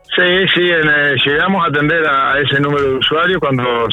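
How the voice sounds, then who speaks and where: Noticeable background noise accompanies a man with a fairly high voice for a man. He talks at a moderate pace with ordinary pitch variation. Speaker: board member of a local therapy centre. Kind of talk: radio interview. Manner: halting, many repeated words and fillers.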